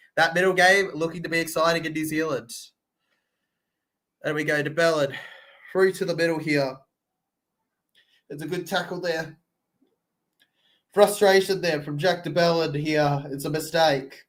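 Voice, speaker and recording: A man with an Australian accent speaks in a high voice at a moderate pace, with long, frequent pauses. His tone is bored and his intonation monotone and flat. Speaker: sports livestream reactor. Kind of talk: live commentary. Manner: bored, flat delivery.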